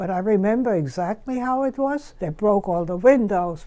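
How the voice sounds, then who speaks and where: A woman with a German accent at a moderate pace, in a very clean recording with a silent background. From Germany. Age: 90s. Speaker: Holocaust survivor. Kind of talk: interview.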